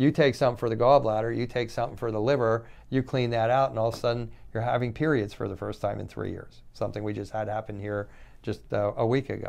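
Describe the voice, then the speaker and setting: Very fast speech from a man at a medium pitch. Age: 60s. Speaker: doctor giving health talks. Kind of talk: unscripted educational talk on health. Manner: rambling, conversational, hesitant.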